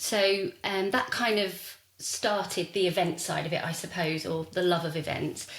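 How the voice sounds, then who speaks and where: Speaking with a southern English accent and fairly even intonation, a woman is heard over noticeable background noise. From southern England, Hertfordshire. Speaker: wedding stylist and events designer. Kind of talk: podcast interview. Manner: hesitant, many fillers.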